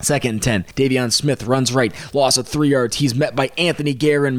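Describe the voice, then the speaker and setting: A man with a fairly high voice at a fairly quick pace, amid noticeable background noise. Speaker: sports podcast host. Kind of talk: play-by-play sports commentary, recapping the game. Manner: rapid-fire, clipped, animated, with excited outbursts at big moments.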